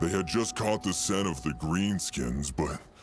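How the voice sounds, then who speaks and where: Put-on character voice from a man, moderately paced, over clear background noise. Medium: video game. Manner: hesitant, stammering with fillers.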